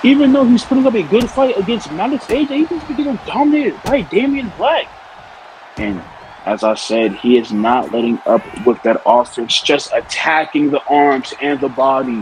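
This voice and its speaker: A man mumbles at a moderate pace in a high voice, his pitch swinging very widely. Noticeable background noise runs underneath. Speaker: wrestling commentator. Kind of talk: live commentary. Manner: mumbling.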